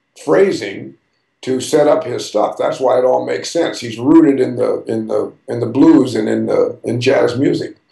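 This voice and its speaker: The man has an American accent and speaks at a moderate pace. There is audible room echo against a quiet background. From US West Coast. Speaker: jazz drummer. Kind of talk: interview. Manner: casual, animated. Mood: warm, enthusiastic. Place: home room. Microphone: webcam.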